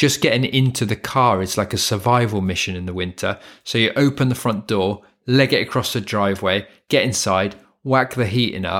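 A fairly low man's voice with a British accent at a moderate pace, ordinary pitch variation, and a very clean, silent background. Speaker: English tutor, podcaster and voiceover artist. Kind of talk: monologue podcast, educational. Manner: chatty, informal, teaching style.

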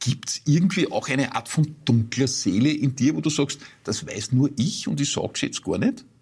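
This man has a fairly high pitch and vocal fry. He talks at a moderate pace. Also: ordinary pitch variation. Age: 50s. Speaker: interviewer. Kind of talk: interview. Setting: studio.

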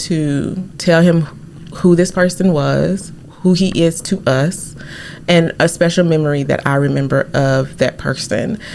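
A woman's fairly low voice with fairly even intonation, over noticeable background noise. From Arkansas. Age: 40s. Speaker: genealogy blogger. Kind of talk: casual interview.

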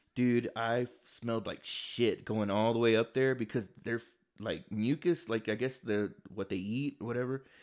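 In a very clean recording with a silent background, a man with a plain, everyday voice speaks at a fairly slow pace, medium in pitch and fairly even in intonation. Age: 30s. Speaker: podcast co-host. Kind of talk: casual chat.

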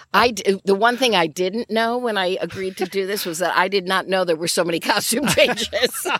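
This woman talks at a fairly quick pace with hardly any pauses, in an American accent, at medium pitch with ordinary variation. Noticeable background noise sits behind her. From Michigan, Grand Rapids. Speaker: actor. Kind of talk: interview chat. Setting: outdoors.

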